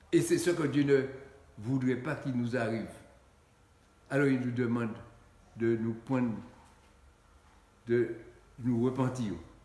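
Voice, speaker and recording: The speech moves at a fairly slow pace with long, frequent pauses and fairly even intonation, and room echo is audible. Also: man, medium pitch for a man. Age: 80s+. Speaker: pastor. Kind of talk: sermon. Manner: halting, with many repetitions.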